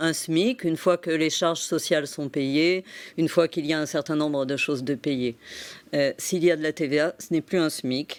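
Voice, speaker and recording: A woman with a very deep, low pitch speaks in fairly even intonation on a very clean recording with a silent background. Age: 60s. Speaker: psychotherapist and entrepreneur. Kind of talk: TV interview. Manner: hesitant, many fillers.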